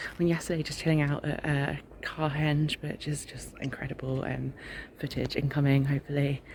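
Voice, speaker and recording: Soft-spoken with an English accent, a woman talks at a very deep, low pitch. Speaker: travel vlogger. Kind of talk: casual vlog to camera. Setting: outdoors at a festival campsite.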